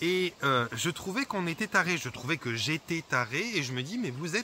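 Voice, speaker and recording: A man's voice with very wide pitch swings. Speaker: holistic therapist. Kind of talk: vlog monologue. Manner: fast; hesitant, many fillers.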